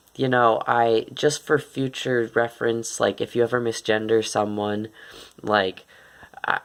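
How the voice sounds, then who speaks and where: A man speaks in an unremarkable speaking voice at a medium pitch. His pace is moderate and his intonation fairly even. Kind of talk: casual talk to camera.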